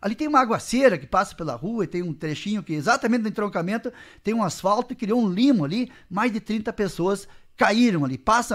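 Speaking at a very fast pace, a man uses lively intonation and a high pitch. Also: quiet background. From not from the town, moved to the Missões region of Brazil; Brazil. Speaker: city councillor and mayoral pre-candidate; council interviewee, candidate. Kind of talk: radio interview. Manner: halting. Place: studio. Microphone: studio mic.

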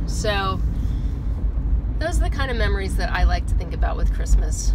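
A woman's voice against loud background noise. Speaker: vlogger. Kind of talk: casual vlog chat, storytelling. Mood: amused, nostalgic. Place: car. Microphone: phone near.

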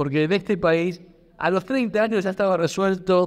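The speaker is a man. There's ordinary variation in his pitch. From Argentina. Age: 50s. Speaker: history teacher speaking at a pensioners' rights debate; panelist. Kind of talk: public debate contribution. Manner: halting, frequent repetitions. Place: hall. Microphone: handheld.

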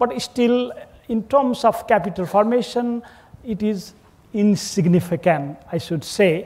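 A man's high-pitched voice, fairly slow in pace, with lively intonation. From Nepal. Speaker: government official, diplomat. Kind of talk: panel discussion. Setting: stage with live audience at conference. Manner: hesitant, many fillers. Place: hall. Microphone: lapel.

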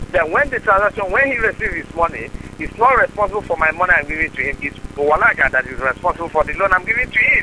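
A man with a West African accent, high-pitched, at a very fast pace with lively intonation, over light background noise. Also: dry sound with no echo. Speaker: caller posing as a private lender. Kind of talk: phone conversation. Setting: phone.

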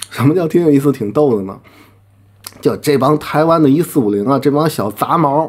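The background stays quiet. A man talks at a fairly quick pace, his pitch showing ordinary variation. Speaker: commentator. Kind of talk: heated rant. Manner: aggressive, confrontational. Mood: mocking, challenging. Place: home room.

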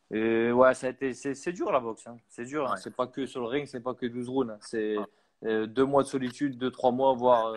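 A man's unremarkable speaking voice at medium pitch, fairly even in intonation, at a moderate pace. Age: 30s. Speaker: professional boxer; guest. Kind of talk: interview. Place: home room. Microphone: earbuds.

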